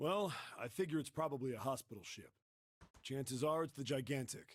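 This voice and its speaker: Using a put-on character voice, a man talks raspy and at a fairly quick pace, with medium pitch and ordinary pitch variation. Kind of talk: slangy tough-guy talk. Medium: video game. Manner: blunt, casual, rough.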